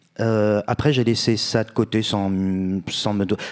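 Against a quiet background, a man speaks at a medium pitch and a fairly slow pace with fairly even intonation. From France, Bordeaux; France. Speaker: writer; guest. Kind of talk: literary panel discussion. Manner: halting, many hesitations. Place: stage. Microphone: handheld.

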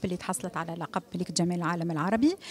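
A woman's voice at a fairly quick pace, dry with no echo. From Tunisia. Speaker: festival organizer. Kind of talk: press interview. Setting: press conference. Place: hall. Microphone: handheld.

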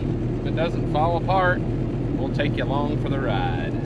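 A man is heard with loud background noise and a dry sound with no echo. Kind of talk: casual vlog chat. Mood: cheerful, relaxed. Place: car. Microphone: phone near.

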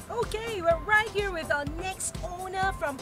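Clear music plays in the background as a woman talks at a very slow pace. Her voice has a dry sound with no echo. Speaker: host interviewer. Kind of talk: interview hosting chat. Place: open country.

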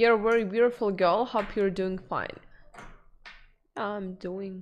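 In a Russian accent, a woman with a medium-pitched voice speaks fairly slowly and in a monotone, flat intonation over light background noise. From former Soviet region (Russian/Ukrainian, born in Kyrgyzstan); former Soviet region. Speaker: streamer. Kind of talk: casual chat. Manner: halting. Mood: relaxed, friendly. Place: home room.

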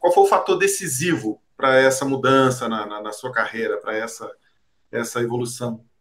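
In a quiet background, a man with an ordinary speaking voice and medium pitch talks at a moderate pace, showing ordinary pitch variation and big swings in loudness. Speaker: sports journalist. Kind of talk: casual interview. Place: home room.

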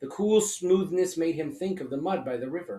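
The voice reads without strain. It is an unforced reading voice.

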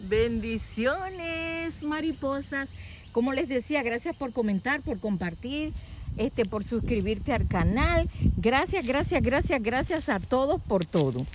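A woman with a high pitch speaks very slowly over noticeable background noise, the sound dry with no echo. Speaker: nature vlogger. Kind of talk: casual vlog chat. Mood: warm, delighted. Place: open country. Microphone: phone near.

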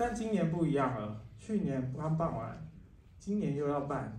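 Audible room echo and light background noise around a man at a fairly high pitch, moderate pace and lively intonation. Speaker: film festival curator; speaker. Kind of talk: ceremony speech. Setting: cinema hall with live audience. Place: hall.

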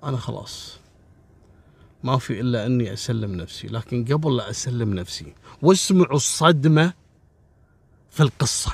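Speaking fairly slowly with a Kuwaiti accent, a man with a medium pitch and a somewhat breathy voice uses lively intonation, broken by long, frequent pauses. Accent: Kuwaiti Gulf Arabic. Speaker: crime storyteller. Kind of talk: storytelling narration. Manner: casual, colloquial.

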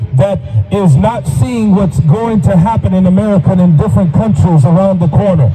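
A man talks at a moderate pace while noticeable background noise runs underneath. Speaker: street preacher. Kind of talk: sermon. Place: street. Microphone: handheld.

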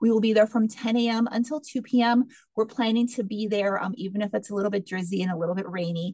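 Somewhat breathy and dark, mellow in tone, a woman talks at a very fast pace with ordinary pitch variation, in a dry sound with no echo over a quiet background. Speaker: meeting host. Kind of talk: public meeting presentation. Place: office. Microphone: video call.

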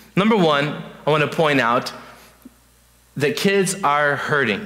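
A man speaks in a plain, everyday voice at a fairly slow pace, with a fairly high pitch and ordinary pitch variation. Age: 20s. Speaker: youth pastor. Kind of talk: sermon. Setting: church. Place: church.

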